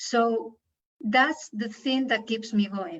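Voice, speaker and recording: A woman's fairly high voice with a non-native accent and ordinary pitch variation. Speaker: women's workshop leader. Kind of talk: interview. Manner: halting.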